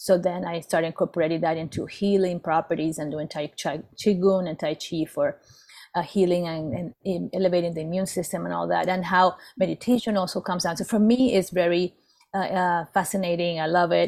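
With fairly even intonation, an unremarkable speaking voice talks at a fairly quick pace. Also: woman, fairly low pitch for a woman. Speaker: business and life coach, co-host. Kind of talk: casual interview.

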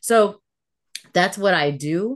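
Over a quiet background, a woman with an American accent and a normal speaking voice talks at a fairly slow pace with lively intonation. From Virginia, US South. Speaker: consultant and coach. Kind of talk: interview conversation.

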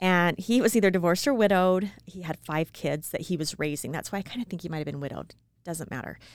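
Talking at a very fast pace with big swings in loudness, a woman with an American accent and a fairly low pitch comes through a very clean recording with a silent background. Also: ordinary pitch variation. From small-town Utah. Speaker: podcast co-host. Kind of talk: casual chat.

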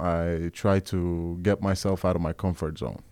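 His tone is dark and mellow, and the man keeps a moderate pace. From Norway, Oslo East (Groruddalen), Kurdish family. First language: Norwegian. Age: 20s. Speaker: musician and youth worker. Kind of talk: casual chat. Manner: halting.

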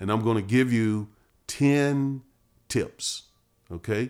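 The recording of this man is very clean, with a silent background. He has an American accent and ordinary pitch variation. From North Carolina. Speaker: podcast host, marriage teacher. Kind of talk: casual teaching chat.

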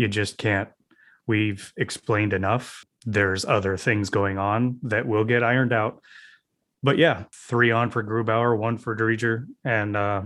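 A man with a plain, everyday voice speaks at a moderate pace and medium pitch, with fairly even intonation. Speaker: podcast co-host.

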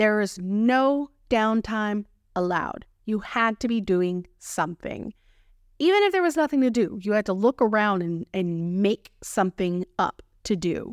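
With an American accent, a woman speaks fairly slowly at a fairly high pitch with lively intonation and an animated, warm tone, on a very clean recording with a silent background and a dry, close sound with no echo. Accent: Texan, noticeable when passionate. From Texas. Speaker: podcast host and food photographer. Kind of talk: casual solo podcast monologue. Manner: animated, warm, chatty.

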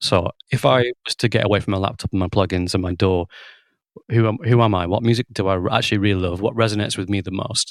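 Someone with a Lancashire accent talks at a very fast pace with fairly even intonation, in a dry, close sound with no echo. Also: man, fairly low pitch for a man. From Lancashire, England. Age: 30s. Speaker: drummer and musical director. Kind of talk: casual interview chat. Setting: remote call.

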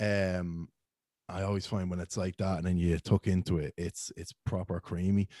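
A Dublin accent in a dark, mellow tone with monotone, flat intonation, a dry, close sound with no echo, and a very clean recording with a silent background. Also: man, very deep, low pitch for a man, moderate pace. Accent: Dublin-sounding Irish. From Ireland, County Meath (Ashbourne, near Dublin). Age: 20s. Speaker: beer reviewer and social media creator. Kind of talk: casual chat.

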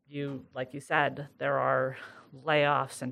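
A woman with an American accent speaks in a very deep, low voice marked by vocal fry and monotone, flat intonation. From upstate New York, Sidney. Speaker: HR director. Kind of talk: casual interview. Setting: studio, face-to-face recording with headset.

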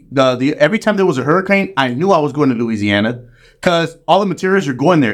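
In an American accent, a man races along at a very fast pace with very wide pitch swings on a very clean recording with a silent background. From Chicago. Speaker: musician and studio board operator. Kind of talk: casual chat.

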